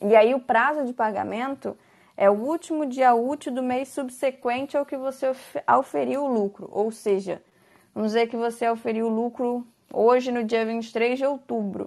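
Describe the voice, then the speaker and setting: The speaker keeps a moderate pace with fairly even intonation. The background is quiet. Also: woman, high pitch for a woman. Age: 20s. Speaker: lawyer. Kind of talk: explanatory talk on a podcast.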